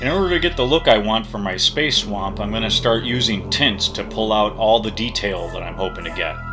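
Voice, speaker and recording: A man's lively intonation at a moderate pace, music in the background. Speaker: miniature terrain crafter. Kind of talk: crafting tutorial narration. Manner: playful, mock-dramatic.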